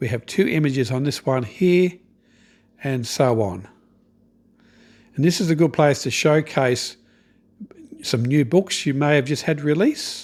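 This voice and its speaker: A man's fairly high voice with an Australian accent, lively intonation and moderate pace. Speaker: online business coach. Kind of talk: tutorial. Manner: casual, conversational.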